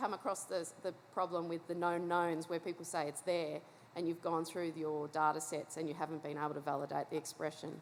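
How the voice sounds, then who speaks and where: A woman's fairly low voice in an Australian accent at a fairly quick pace. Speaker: scientist asking audience question. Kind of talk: conference Q&A.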